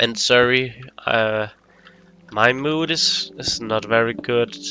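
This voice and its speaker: Over noticeable background noise, a man at a medium pitch speaks at a very slow pace with fairly even intonation. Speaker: gaming youtuber. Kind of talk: gameplay commentary. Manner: halting.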